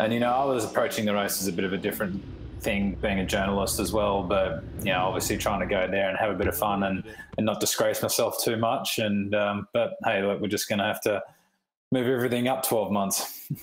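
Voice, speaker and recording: With audible room echo, a man speaks with an Australian accent at a fairly low pitch and fairly quick pace, keeping very even loudness and fairly even intonation. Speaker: motorcycle racer and journalist. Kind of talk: interview. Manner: hesitant with many fillers.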